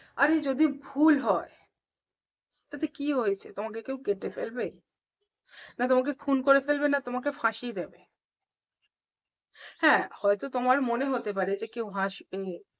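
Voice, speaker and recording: A woman's high-pitched voice with ordinary pitch variation, against a quiet background. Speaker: English teacher. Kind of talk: tutorial.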